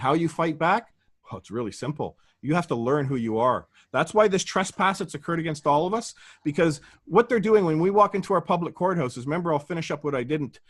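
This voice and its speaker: Speaking at a very fast pace, a man with a fairly high pitch sounds animated, his pitch swinging very widely on a very clean recording with a silent background. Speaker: guest speaker on common law. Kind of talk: interview monologue, explaining.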